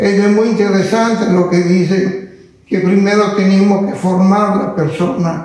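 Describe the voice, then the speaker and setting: The speech runs in a flat monotone, with audible room echo and noticeable background noise. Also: man. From northern Italy, mountain village. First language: Italian (speaking Spanish). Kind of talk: interview.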